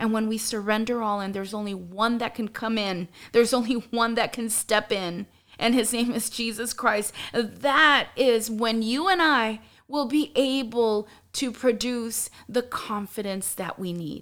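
A woman's normal speaking voice, fairly high in pitch, with ordinary pitch variation and a fairly slow pace. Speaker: podcast host. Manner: earnest, warm, encouraging.

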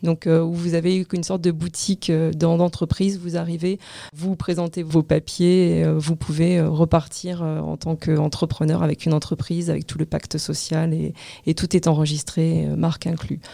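Against noticeable background noise, a woman speaks at a moderate pace with a fairly low pitch and monotone, flat intonation. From France. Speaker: real estate agency director. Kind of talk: interview. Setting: studio.

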